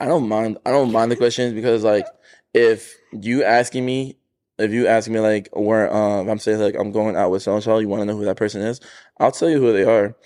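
Fairly quick and fairly even in intonation, a man with an American accent and an unremarkable speaking voice talks at medium pitch. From New Jersey. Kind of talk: casual chat.

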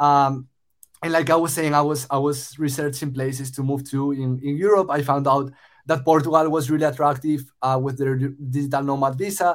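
In a very clean recording with a silent background, a man speaks at a moderate pace with a fairly high pitch and flat, monotone intonation. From Spain. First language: Spanish. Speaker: startup founder. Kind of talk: casual interview conversation.

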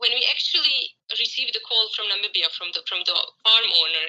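A woman at a moderate pace, with a Croatian accent. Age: 30s. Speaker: horse trainer. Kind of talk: interview. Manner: hesitant, many fillers.

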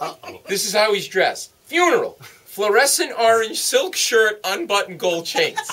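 A man with an American accent uses a raised, projected voice at an extremely high pitch with very wide pitch swings. He talks with hardly any pauses over noticeable background noise. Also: moderate pace. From US Northeast, Providence, Rhode Island. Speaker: comedian. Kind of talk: interview with stand-up style storytelling. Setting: radio studio. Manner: animated.

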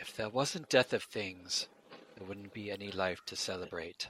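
A man's put-on character voice at fairly low pitch and a moderate pace. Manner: solemn, philosophical.

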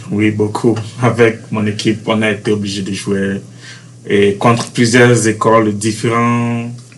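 Amid noticeable background noise and audible room echo, a man speaks at a fairly slow pace with a fairly low pitch and monotone, flat intonation. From Benin, Cotonou. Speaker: university student, basketball player. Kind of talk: interview. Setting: university campus.

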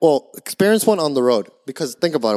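This man has a fairly high pitch, lively intonation and an American accent. He talks at a very fast pace in a dry, close recording with no echo. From Florida. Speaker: podcast co-host. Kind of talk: casual chat.

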